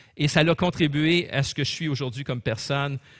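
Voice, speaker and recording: Moderate pace in a Quebec accent against a quiet background. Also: man. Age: 60s. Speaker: pastor. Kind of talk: sermon.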